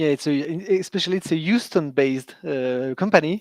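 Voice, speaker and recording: Dry and close with no echo, a man's fairly high voice moves at a moderate pace with ordinary pitch variation. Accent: French. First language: French. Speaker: corporate sustainability manager. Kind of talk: live interview. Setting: live stream.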